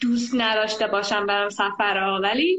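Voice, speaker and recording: Woman with a fairly high pitch. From Iran, Tehran. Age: 20s. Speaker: traveler and volunteer. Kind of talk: casual chat. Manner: animated.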